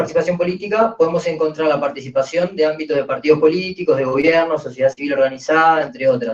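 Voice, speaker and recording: A man with a fairly high pitch rattles off his words at a very fast pace. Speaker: panel moderator. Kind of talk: panel moderation.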